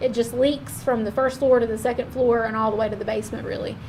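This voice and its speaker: A woman's fairly high voice in a monotone, flat intonation, with noticeable background noise. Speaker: county staff presenting project reports. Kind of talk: public meeting report. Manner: fast.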